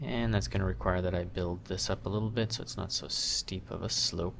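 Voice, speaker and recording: With vocal fry, the man's voice sits very deep and low. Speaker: 3D sculpting instructor. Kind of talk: tutorial.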